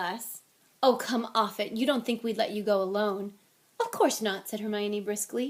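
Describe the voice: What we hear is plain reading aloud.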